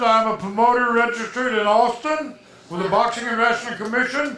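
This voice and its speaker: With audible room echo and light background noise, a man uses a raised, projected voice at an extremely high pitch. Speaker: wrestling commentator. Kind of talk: live wrestling commentary. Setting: wrestling arena with ring. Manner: casual, folksy banter. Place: hall. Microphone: handheld.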